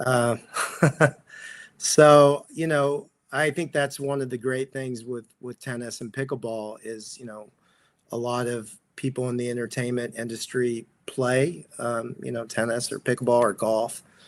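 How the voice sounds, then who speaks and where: With an American accent, a man speaks at a medium pitch and a fairly slow pace with fairly even intonation. It is a normal speaking voice. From Texas. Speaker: actor and pickleball coach. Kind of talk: interview.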